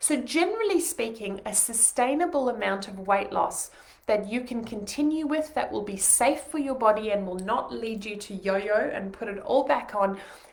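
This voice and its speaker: A woman speaks with a fairly high pitch, lively intonation and big swings in loudness, hardly pausing at all. The room echo is audible and the background noise is noticeable. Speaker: nutritionist. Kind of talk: webinar. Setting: home living room, live stream. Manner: fast.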